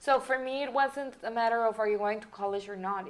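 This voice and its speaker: A woman's fairly high voice with a Mexican accent, at a moderate pace with fairly even intonation. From Mexican border region, Nuevo Laredo side. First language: Spanish. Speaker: business consultant and company founder. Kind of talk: interview. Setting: podcast recording.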